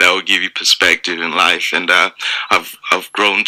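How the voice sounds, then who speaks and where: Recorded dry and close with no echo, a man speaks over noticeable background noise. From Zimbabwe, Mutare. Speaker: stand-up comedian. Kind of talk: radio interview. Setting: radio studio.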